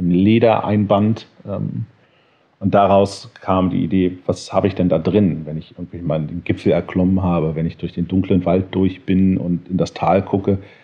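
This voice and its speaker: Very deep, low pitch from a man, moderate in pace, with fairly even intonation. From grew up in Connecticut, USA and Berlin. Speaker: gin maker and designer. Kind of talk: casual interview.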